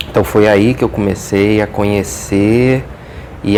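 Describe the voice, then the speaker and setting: Noticeable background noise surrounds this recording. A man with fairly low pitch speaks at a fairly slow pace. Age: 40s. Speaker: history teacher and historian. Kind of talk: interview. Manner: hesitant, with frequent fillers.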